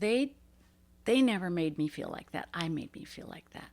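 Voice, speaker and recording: A woman with an ordinary speaking voice and an American accent speaks at a moderate pace, her fairly low pitch moving with lively intonation. Her loudness swings widely in a very clean recording with a silent background. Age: 60s. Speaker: professional bass angler. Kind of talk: podcast interview.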